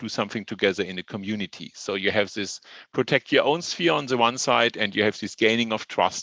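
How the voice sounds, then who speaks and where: A man with a German accent and a bright, sharp tone, against a quiet background. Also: dry, close sound with no echo. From Germany. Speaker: professor. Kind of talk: lecture. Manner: hesitant, with fillers.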